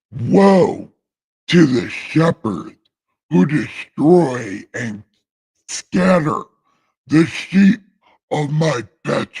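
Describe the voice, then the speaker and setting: A man puts on a character voice with a fairly high pitch. He goes at a very slow pace, with long, frequent pauses. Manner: solemn, thunderous.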